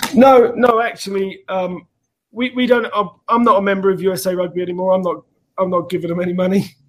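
A man with a southern English accent talks at a fairly quick pace, his high pitch carrying fairly even intonation. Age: 30s. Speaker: rugby organization founder. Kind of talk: casual interview.

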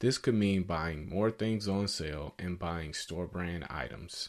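A man speaks in an unremarkable speaking voice with ordinary pitch variation against a quiet background. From US South, Atlanta, Georgia. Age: 20s. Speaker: podcast host. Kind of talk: monologue podcast, advice talk.

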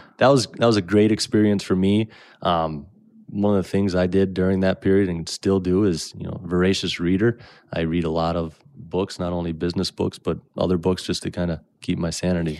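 A man's very deep, low voice with an American accent, fairly even intonation, and a fairly quick pace, on a very clean recording with a silent background. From Minnesota, Brainerd area. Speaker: landscape company executive. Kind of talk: interview. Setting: studio.

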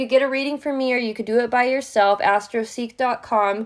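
Loud and at a fairly high pitch, a woman speaks fairly quickly in a monotone, flat intonation, in a very clean recording with a silent background. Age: 20s. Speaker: podcast host, tarot reader. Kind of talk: solo casual monologue. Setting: home recording.

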